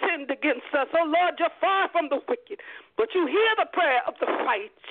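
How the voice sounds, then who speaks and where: Her intonation lively, a woman speaks at an extremely high pitch. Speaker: radio host and prayer leader. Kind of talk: fervent prayer and welcome on a radio show. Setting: radio broadcast. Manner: fervent, impassioned, exclamatory.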